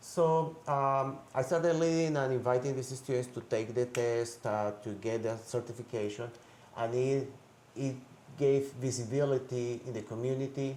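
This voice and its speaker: A man talks at a medium pitch with a Spanish accent. His intonation stays fairly even at a moderate pace. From Colombia. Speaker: high school language teacher. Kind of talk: interview.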